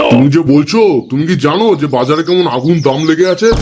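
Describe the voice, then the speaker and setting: Over clear background noise, a man puts on a booming character voice with a fairly high pitch, speaking at a fairly quick pace and at a very even loudness. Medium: cartoon. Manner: grumpy, penny-pinching.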